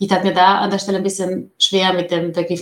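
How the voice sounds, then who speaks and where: A woman with a normal speaking voice talks at a fairly quick pace and a medium pitch. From outside Germany. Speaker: data professional. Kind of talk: interview.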